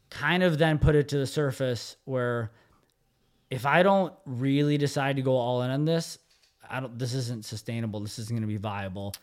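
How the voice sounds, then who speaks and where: On a very clean recording with a silent background, a man speaks at a moderate pace in an ordinary speaking voice, medium in pitch with ordinary pitch variation. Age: 30s. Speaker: gym owner. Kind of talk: casual chat.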